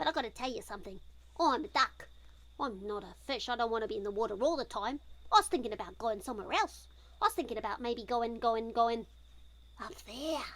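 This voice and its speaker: Using a put-on character voice, a woman talks at a fairly quick pace and a fairly high pitch, breaking it up with long, frequent pauses. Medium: read story. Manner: chatty, eager.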